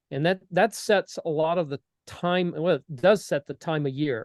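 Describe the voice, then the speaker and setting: Recorded with a dry, close sound and no echo, a man with an American accent speaks at a fairly slow pace with fairly high pitch and ordinary pitch variation. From Tennessee. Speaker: model railroader, civil engineer. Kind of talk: presentation to society members. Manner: relaxed with frequent fillers.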